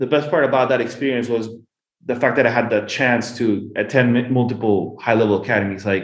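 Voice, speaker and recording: With a Peruvian accent, a man talks at a fairly quick pace in very even loudness and fairly even intonation, with audible room echo around him. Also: medium pitch for a man. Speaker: golf business manager and former pro golfer. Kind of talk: podcast interview. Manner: halting, many repetitions; fast.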